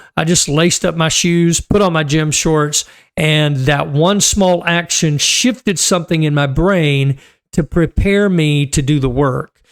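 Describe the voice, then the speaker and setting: With a plain, everyday voice, a man talks at a fairly slow pace, his pitch fairly high with ordinary pitch variation. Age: 60s. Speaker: marriage coach. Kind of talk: casual talk to camera. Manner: conversational with fillers.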